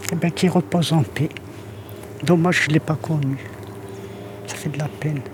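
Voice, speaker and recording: A woman with a very deep, low pitch, lively intonation, and long, frequent pauses amid noticeable background noise. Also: moderate pace. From Algeria. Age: 80s+. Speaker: grandmother in a documentary. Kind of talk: documentary interview. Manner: halting.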